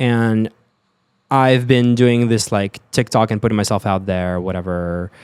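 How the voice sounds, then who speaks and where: A man speaks with an American accent at a fairly slow pace, using a normal speaking voice with a fairly low pitch and fairly even intonation. The very clean recording has a silent background and a dry, close sound with no echo. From Russia (Sochi), later Europe and Florida. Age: 20s. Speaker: actor and music artist. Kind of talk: casual interview chat.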